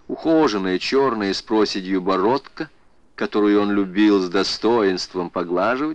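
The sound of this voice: Heard here is an unforced reading voice.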